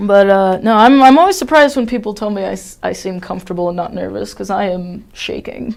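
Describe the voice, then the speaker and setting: A woman with an American accent talks at a fairly quick pace with hardly any pauses, in a plain, everyday voice. Her medium pitch varies in an ordinary way, while her loudness swings widely. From Ohio. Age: 20s. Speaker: stand-up comedian. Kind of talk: casual chat.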